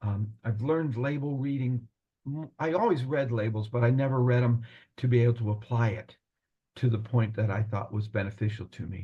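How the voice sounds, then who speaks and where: A man with a medium pitch and ordinary pitch variation talks at a fairly quick pace in a dark, mellow tone that is somewhat breathy. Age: 70s. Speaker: retired pharmacist, program client. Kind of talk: testimonial interview. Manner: halting, repeats words.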